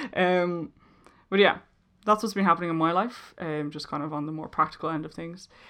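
A woman with a Dublin accent speaks at a fairly quick pace in a fairly low pitch, her bright, sharp tone swinging widely in loudness, with ordinary pitch variation over a quiet background. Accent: Dublin Irish. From Ireland, Dublin. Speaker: podcast host. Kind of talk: solo casual monologue. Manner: hesitant, many ums and laughs.

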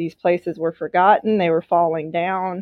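A woman of medium pitch with a Southern US accent. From Mississippi. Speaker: newspaper publisher. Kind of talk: podcast interview.

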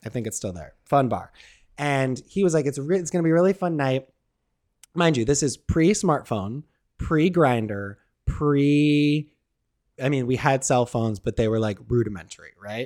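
A man at medium pitch and moderate pace, animated, with lively intonation and long, frequent pauses. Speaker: podcast co-host. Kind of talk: casual chat. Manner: joking, animated.

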